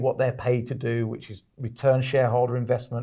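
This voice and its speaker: With a British accent, a man speaks at a fairly quick pace and a medium pitch, his tone dark, mellow and somewhat breathy. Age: 50s. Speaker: podcast host and author. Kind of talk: interview.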